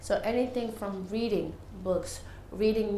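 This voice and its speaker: A woman speaks at a fairly high pitch with monotone, flat intonation. Audible room echo and noticeable background noise surround her voice. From Senegal, moved to New York at nine. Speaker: English teacher. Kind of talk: interview.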